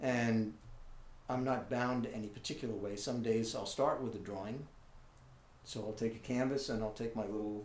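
Audible room echo surrounds a man speaking at a fairly quick pace. His pitch is medium and his intonation fairly even. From New York City (Manhattan). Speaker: visual artist. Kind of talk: interview. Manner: halting.

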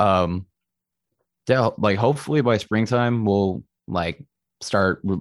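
A man at a fairly slow pace, with a dry, close sound with no echo and a very clean recording, silent background. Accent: American. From Texas (Austin). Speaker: metal band vocalist. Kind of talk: casual interview chat.

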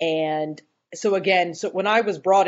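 Speaking with an American accent, a woman at a medium pitch and a moderate pace has an unremarkable speaking voice. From US South, North Carolina (Boone). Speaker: scrum master. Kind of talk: interview.

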